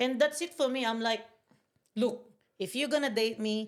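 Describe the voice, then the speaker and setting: Intonation runs lively at a moderate pace. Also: woman. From Philippines, Bicol. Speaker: podcast guest. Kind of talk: casual chat. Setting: studio, on camera. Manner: loud; animated.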